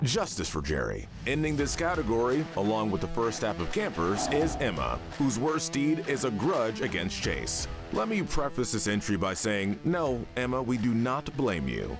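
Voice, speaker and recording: With music in the background, a man talks at medium pitch and a moderate pace, his loudness very even while his pitch swings very widely. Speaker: voice-over narrator. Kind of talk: YouTube commentary narration.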